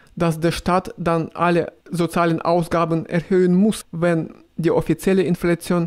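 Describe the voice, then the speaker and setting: A man speaks in a high pitch with monotone, flat intonation and very even loudness. His pace is fairly slow, with hardly any pauses. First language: Russian (speaking German). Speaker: video blogger. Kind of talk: casual vlog, answering viewer questions. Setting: riding a tram. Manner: halting, with fillers.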